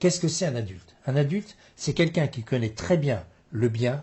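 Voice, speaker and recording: Lively intonation marks a man's somewhat breathy speech. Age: 70s. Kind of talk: interview.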